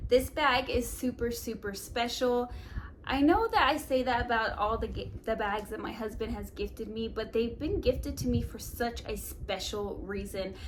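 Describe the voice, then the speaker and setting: A woman talks at a moderate pace as noticeable background noise carries on around her. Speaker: fashion and beauty YouTuber. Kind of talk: product review vlog. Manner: animated.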